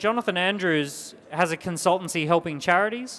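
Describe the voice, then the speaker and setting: With an energetic tone, a man talks using ordinary pitch variation. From Australia. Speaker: entrepreneur and business speaker. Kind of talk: business workshop talk. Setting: small group at a business event. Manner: energetic, emphatic.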